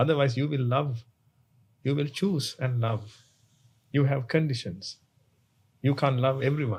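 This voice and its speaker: At a fairly slow pace, someone speaks in a somewhat breathy voice with ordinary pitch variation. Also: man. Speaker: Buddhist monk. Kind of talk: sermon. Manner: halting.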